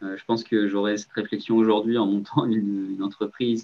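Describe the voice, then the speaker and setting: A man speaks at a moderate pace in a fairly low, monotone, flat voice. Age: 20s. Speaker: startup founder. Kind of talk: interview.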